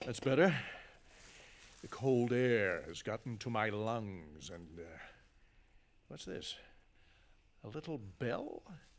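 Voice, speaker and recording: This is a gruff, put-on character voice. It moves at a fairly slow pace. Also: man. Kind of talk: radio drama acting. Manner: gruff, scornful, irritable.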